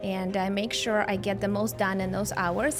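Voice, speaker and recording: A woman with a Russian accent, at a moderate pace and with ordinary pitch variation, over music in the background. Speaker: lifestyle content creator. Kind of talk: podcast interview answer.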